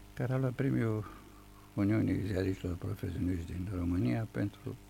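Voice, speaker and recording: A man's very deep, low pitch with vocal fry, a dark, mellow tone, lively intonation and a moderate pace. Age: 70s. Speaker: writer and playwright. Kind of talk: radio interview. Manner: formal.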